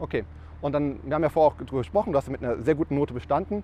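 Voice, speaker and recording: A man talks at a very fast pace with lively intonation. His pitch is fairly high, with vocal fry. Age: 30s. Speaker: tax advisor, podcast host. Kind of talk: casual interview. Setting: on location over lunch.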